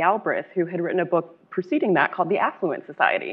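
A woman's normal speaking voice, medium in pitch, at a fairly quick pace. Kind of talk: moderated panel discussion. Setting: luncheon event with audience.

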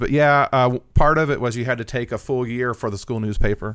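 A man with an American accent talks at a fairly quick pace, medium in pitch with ordinary pitch variation, in a plain, everyday voice. The recording is very clean, the background silent. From southern Indiana, Austin. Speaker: newspaper journalist. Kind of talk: interview conversation. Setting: studio.

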